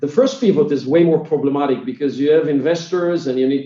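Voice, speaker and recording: Speaking at a fairly quick pace with an Israeli accent, a man uses a fairly high pitch, a dark, mellow tone and ordinary pitch variation. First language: Hebrew. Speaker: tech company founder and CEO. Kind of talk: interview. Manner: halting, many filler sounds.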